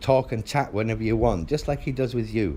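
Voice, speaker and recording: A man's medium-pitched voice carries a dark, mellow tone with vocal fry. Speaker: father in custody dispute. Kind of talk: heated phone argument. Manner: loud.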